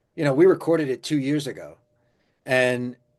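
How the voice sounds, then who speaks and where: A man speaks in an ordinary speaking voice at a moderate pace with fairly even intonation against a quiet background. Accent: American. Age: 50s. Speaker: musician. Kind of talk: interview.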